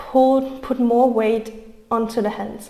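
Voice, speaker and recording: Speaking with a non-native accent, a woman has a high pitch and a calm tone. Her intonation is fairly even. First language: not English. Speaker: yoga instructor. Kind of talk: guided yoga class. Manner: calm, encouraging.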